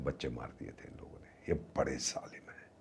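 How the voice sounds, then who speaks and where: A man is speaking. His voice has vocal fry. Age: 70s. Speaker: former ambassador, foreign affairs commentator. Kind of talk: podcast interview.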